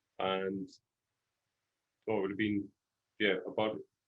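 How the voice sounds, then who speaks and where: A Welsh accent at a fairly quick pace. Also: man. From Wales. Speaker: podcast guest, father. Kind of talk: casual chat.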